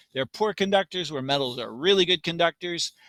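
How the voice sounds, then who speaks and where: A bright, sharp tone at a fairly quick pace, ordinary pitch variation, dry, close sound with no echo, and a very clean recording with a silent background. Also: man. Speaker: science teacher. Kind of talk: lecture.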